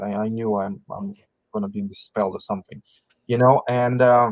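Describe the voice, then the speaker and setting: A man of medium pitch with a non-native accent, in dry, close sound with no echo. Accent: foreign. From outside the US, foreign-born. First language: not English. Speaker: business founder. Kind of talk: podcast interview. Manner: halting, with repetitions.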